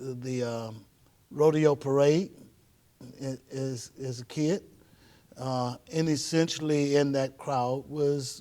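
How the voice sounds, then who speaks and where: A very slow, fairly high-pitched male voice with an American accent, fairly even intonation and long, frequent pauses. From Houston, Texas (Fifth Ward). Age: 60s. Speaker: pastor. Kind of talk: casual conversation.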